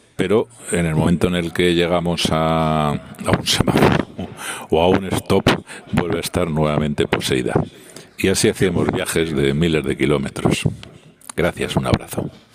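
There is noticeable background noise as a man speaks at a moderate pace, his pitch very deep and low with fairly even intonation. He leaves long, frequent pauses. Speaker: listener sending voice message. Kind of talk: voice message.

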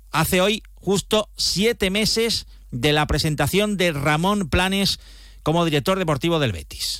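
Pitched high, a man talks at a fairly slow pace with ordinary pitch variation. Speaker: sports reporter. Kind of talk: sports news report.

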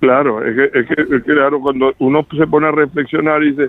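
A man with a Venezuelan accent speaks at a moderate pace in a fairly high pitch. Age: 70s. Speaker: fire witness, resident. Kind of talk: phone interview. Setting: phone call. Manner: halting, many repetitions.

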